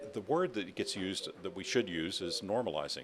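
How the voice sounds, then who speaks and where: Showing vocal fry and very wide pitch swings, a man talks with an American accent. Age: 70s. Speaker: former TV reporter turned tech entrepreneur and author. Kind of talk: interview. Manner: hesitant, many fillers.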